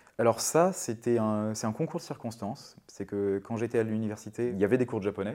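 At a very fast pace, a man with a dark, mellow tone and medium pitch speaks on a very clean recording with a silent background. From Brittany, France. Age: 40s. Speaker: software worker and traveler. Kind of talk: interview testimony. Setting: home living room. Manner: casual, hesitant with fillers.

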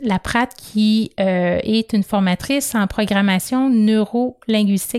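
A woman with a Quebec accent, at a fairly slow pace and with fairly even intonation, in a dry, close sound with no echo. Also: very clean recording, silent background. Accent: Québécois French. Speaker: podcast host, personal development. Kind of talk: motivational monologue.

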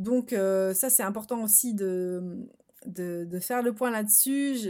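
A woman's voice sits at a medium pitch and varies in an ordinary way. Nothing can be heard in the background, and the recording is very clean. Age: 30s. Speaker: wellness coach and podcast host. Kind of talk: solo podcast monologue. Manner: hesitant, many fillers.

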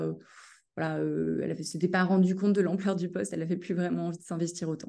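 Against a quiet background, the voice has a dark, mellow tone and fairly even intonation. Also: woman. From western France, Cholet. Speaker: independent headhunter. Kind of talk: casual interview. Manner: hesitant, many fillers.

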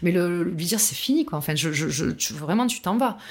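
A woman talks in an unremarkable speaking voice at a fairly low pitch. Her pace is fairly quick and her intonation lively. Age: 40s. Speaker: testimony guest on abusive relationship. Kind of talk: testimony.

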